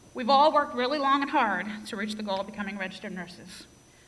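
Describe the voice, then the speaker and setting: A woman talks at a fairly quick pace with ordinary pitch variation. Noticeable background noise and audible room echo are present. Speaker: nursing graduate, class speaker. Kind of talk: graduation speech. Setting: stage with audience. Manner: tends to speak fast.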